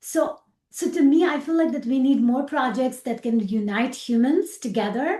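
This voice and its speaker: With a Pakistani accent, a woman speaks at a moderate pace in a high pitch, her tone dark and mellow and her intonation lively. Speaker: aerospace engineer. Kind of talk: interview.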